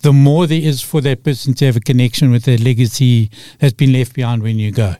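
The voice has a dark, mellow tone and ordinary pitch variation, with a Zimbabwean accent. The sound is dry and close, with no echo. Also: man. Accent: Zimbabwean (Rhodesian) English. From Rhodesia (Zimbabwe). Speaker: storyteller and author. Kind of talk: radio interview.

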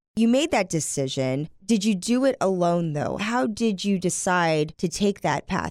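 A woman with an American accent and an unremarkable speaking voice talks at a fairly slow pace with hardly any pauses, medium pitch, lively intonation and very even loudness, in a very clean recording on a silent background. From US South. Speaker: podcast host. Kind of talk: casual chat and interview.

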